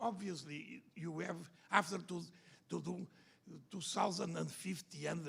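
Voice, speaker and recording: A man talks at a moderate pace in a high pitch. His tone is bright and sharp. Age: older. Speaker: liver surgeon. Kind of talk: conference panel discussion.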